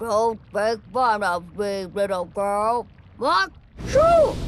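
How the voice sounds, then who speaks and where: This put-on character voice sits at a fairly high pitch. The pace is very slow. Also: female-sounding voice. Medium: read story. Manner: grumpy, pompous.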